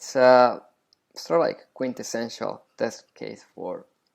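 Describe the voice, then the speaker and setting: A man is speaking. He has a non-native accent. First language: not English. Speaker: science educator. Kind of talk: tutorial. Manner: hesitant, many fillers; casual.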